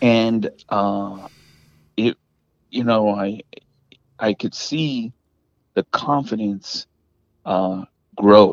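Using long, frequent pauses, a man talks at a very slow pace with fairly low pitch. His intonation is fairly even, and the sound is dry and close with no echo. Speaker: dent repair business owner. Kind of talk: interview. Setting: phone or remote call.

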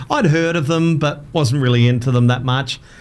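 Fairly quick speech from a man with an Australian accent. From Adelaide, South Australia. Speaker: radio presenter and former karaoke business owner. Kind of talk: casual chat. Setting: studio.

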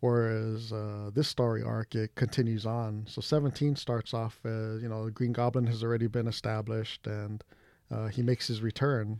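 With a dark, mellow tone and medium pitch, a man speaks in a monotone, flat intonation at a moderate pace, recorded very cleanly against a silent background. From Hawaii. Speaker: comic book shop owner. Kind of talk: casual chat.

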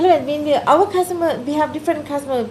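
The speaker has a Thai accent. Background noise is noticeable. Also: woman. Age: 60s. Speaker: chef and restaurant founder. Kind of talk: interview. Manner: halting.

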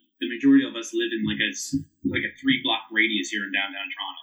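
Here a man talks at a very fast pace. He speaks in a Newfoundland accent. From Newfoundland, Canada (St. John's). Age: 30s. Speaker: whiskey brand ambassador and bartender. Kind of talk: casual chat.

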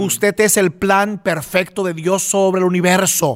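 This is a man's voice. His pitch is high. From Puerto Rico. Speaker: pastor and singer. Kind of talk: casual interview.

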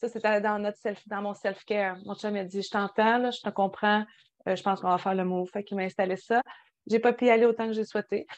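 A woman speaks fairly quickly in a Quebec accent, her pitch medium and her intonation flat and monotone. The background is quiet. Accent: Québécois French. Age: 30s. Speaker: podcast co-host. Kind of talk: casual chat.

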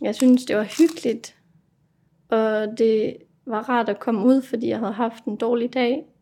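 With a fairly high pitch and a dark, mellow tone, a woman speaks at a fairly slow pace with fairly even intonation. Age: 20s. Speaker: resident of a psychiatric residential home. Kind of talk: casual chat.

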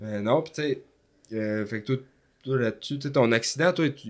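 A man's medium-pitched voice in a Quebec accent, very slow, with ordinary pitch variation, big swings in loudness and long, frequent pauses. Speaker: podcast host. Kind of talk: casual chat.

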